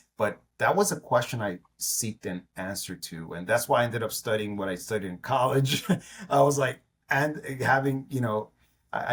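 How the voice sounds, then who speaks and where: Somewhat breathy, a man with an American accent speaks at a moderate pace and medium pitch, with ordinary pitch variation. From New York. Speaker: entrepreneur. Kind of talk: interview.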